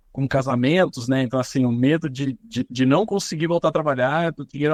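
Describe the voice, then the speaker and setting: The sound is dry and close, with no echo. A man talks at a fairly high pitch with ordinary pitch variation. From interior of São Paulo state, Brazil (São José dos Campos). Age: 30s. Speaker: singer, actor and social media comedian. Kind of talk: podcast interview. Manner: hesitant, repeats words.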